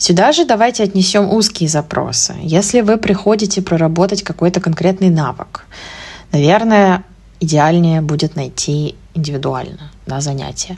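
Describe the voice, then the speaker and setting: This woman's voice is fairly low, with a dark, mellow tone. It is somewhat breathy, with ordinary pitch variation. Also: moderate pace. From Russia, Moscow. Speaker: English teacher and podcast host. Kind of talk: solo podcast monologue.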